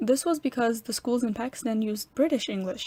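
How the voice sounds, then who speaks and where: A woman speaks in a somewhat breathy voice. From New York. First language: Urdu. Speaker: college student. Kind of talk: scripted narration.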